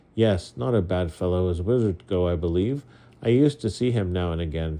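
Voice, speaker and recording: A put-on, gruff character voice with lively intonation and a fairly quick pace over a quiet background. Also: man, very deep, low pitch for a man. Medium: read story. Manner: gruff, blunt.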